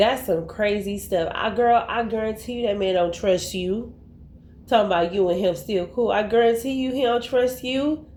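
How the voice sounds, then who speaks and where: Audible room echo surrounds a woman speaking at a moderate pace, her fairly high voice showing ordinary pitch variation. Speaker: commentary youtuber. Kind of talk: casual commentary vlog. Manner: animated.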